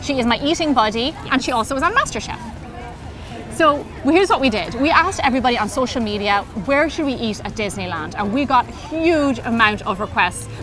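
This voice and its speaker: A woman with an Irish accent speaks at a fairly quick pace in a high pitch, animated and with lively intonation. Music plays in the background. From Ireland. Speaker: chef and cooking show host. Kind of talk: casual chat.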